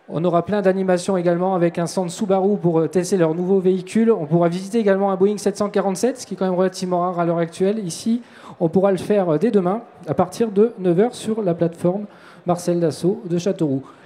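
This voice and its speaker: Someone talks at a very fast clip over noticeable background noise. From France. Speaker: event announcer. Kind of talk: live event announcing. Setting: outdoor public square with crowd. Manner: animated.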